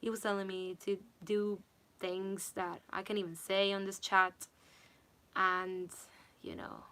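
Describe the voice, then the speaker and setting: A woman with a non-native accent speaks at a medium pitch in a bright, sharp tone, monotone and flat, at a fairly slow pace with long, frequent pauses. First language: not English. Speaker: singer and vocal coach. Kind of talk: livestream chat.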